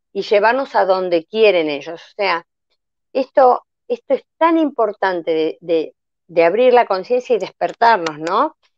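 A woman at a fairly slow pace, her pitch swinging very widely. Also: medium pitch for a woman. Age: 60s. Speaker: health testimony guest. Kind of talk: personal testimony in a live interview.

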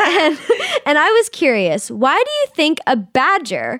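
Noticeable background noise behind a woman speaking at a fairly slow pace. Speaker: podcast co-host. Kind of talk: casual chat.

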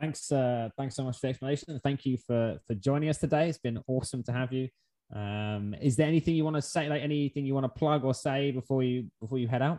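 Very fast and fairly even in intonation, the voice has an English accent and a dark, mellow tone, recorded in a dry, close sound with no echo. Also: man, medium pitch for a man. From England. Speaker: podcast host. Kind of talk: interview.

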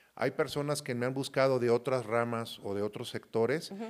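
The recording is very clean with a silent background. A man of medium pitch speaks at a moderate pace with fairly even intonation. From Mexico, Michoacán and Veracruz. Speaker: industry association president, agronomist. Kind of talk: interview. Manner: halting, many fillers.

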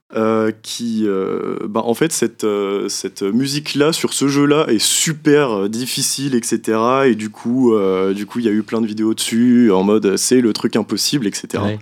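With ordinary pitch variation, a man talks very slowly in a medium pitch. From Brittany. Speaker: young music columnist. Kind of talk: casual radio chat.

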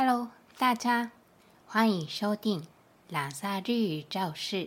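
A woman's fairly high voice at a very slow pace. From Kyushu, Japan. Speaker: Japanese language teacher. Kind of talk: language lesson monologue. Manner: slow, clear.

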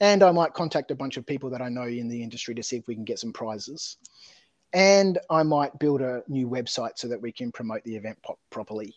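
Lively intonation marks a man's medium-pitched voice at a very fast pace. The sound is dry and close with no echo, over a quiet background. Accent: Australian. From Australia (Adelaide). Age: 40s. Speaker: tabletop terrain business owner. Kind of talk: casual interview chat. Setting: remote call. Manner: halting, many fillers.

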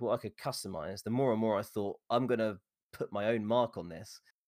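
Spoken with an English accent, the voice sounds dry and close with no echo, on a very clean recording with a silent background. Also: man. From England. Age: 40s. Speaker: streamer. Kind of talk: interview.

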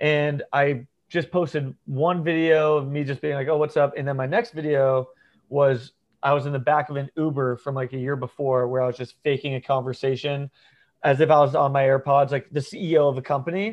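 A man with an ordinary speaking voice talks at a moderate pace in an American accent. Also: fairly high pitch for a man, fairly even intonation. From US South, northeast Florida. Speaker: social media creator. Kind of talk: casual chat.

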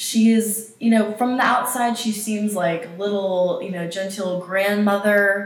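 A woman with an American accent speaks at a fairly high pitch with ordinary pitch variation, over noticeable background noise and audible room echo. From US South, East Tennessee. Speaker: podcast co-host, nonprofit worker. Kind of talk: casual chat.

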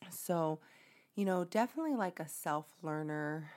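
On a very clean recording with a silent background, a woman with a very deep, low pitch speaks at a moderate pace in an animated tone with lively intonation. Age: 20s. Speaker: podcast host, mom. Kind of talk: casual monologue. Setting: home recording.

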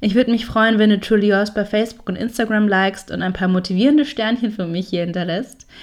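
A woman talks at a fairly quick pace in medium pitch, with fairly even intonation and an ordinary speaking voice. The recording is very clean, with a silent background. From Franconia, Germany. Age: 20s. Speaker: podcast host. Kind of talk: podcast intro monologue.

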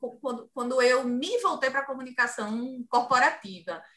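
A woman speaks at a fairly slow pace in a high, bright and sharp tone. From Ceará, Cariri region, Brazil. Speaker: journalist and communications agency owner. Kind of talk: interview. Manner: passionate.

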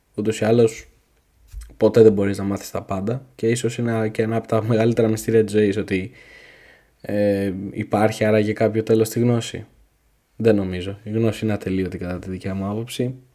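A man with a fairly low pitch and a dark, mellow tone speaks in a monotone, flat intonation on a very clean recording with a silent background. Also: moderate pace. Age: 20s. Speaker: podcast host. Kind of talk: solo podcast monologue. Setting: home recording at night. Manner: casual freestyle.

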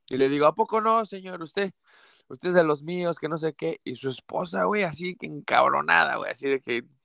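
Here a man speaks with a fairly high pitch and a bright, sharp tone. His intonation is lively, his pace moderate, and the sound dry and close with no echo. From Mexico City. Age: 30s. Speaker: comedian. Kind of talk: casual interview.

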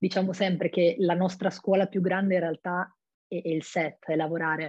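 Fairly low in pitch, a woman speaks at a fairly quick pace with monotone, flat intonation. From Friuli-Venezia Giulia, Italy (Monfalcone). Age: 20s. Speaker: actress. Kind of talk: interview.

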